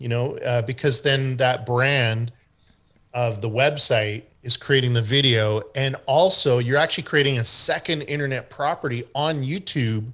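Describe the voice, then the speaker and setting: With a strong Canadian accent, a man talks at a fairly slow pace and medium pitch, his tone bright and sharp and his intonation fairly even. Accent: thick Canadian. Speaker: SEO expert. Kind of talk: group discussion Q&A. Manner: hesitant with many fillers.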